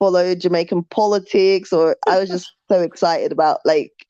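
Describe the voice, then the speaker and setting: The tone is dark and mellow. The pace is moderate. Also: woman. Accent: London. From UK. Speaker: YouTuber. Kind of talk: live stream chat. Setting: live stream. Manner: halting.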